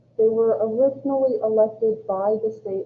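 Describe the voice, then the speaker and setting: A woman with a fairly high pitch and a normal speaking voice talks at a fairly slow pace. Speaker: college government instructor. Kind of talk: lecture.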